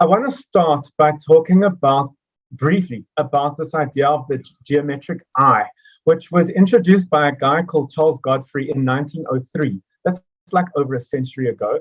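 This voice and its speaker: A man speaks at a fairly high pitch with ordinary pitch variation. His voice is somewhat breathy. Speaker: mathematics education speaker. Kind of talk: educational presentation. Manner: fast.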